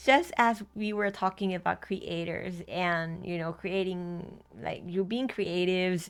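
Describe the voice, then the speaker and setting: On a very clean recording with a silent background, a woman with a Thai accent speaks at a fairly slow pace in a medium pitch. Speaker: tarot reader. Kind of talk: tarot reading to camera. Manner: halting, many fillers and restarts.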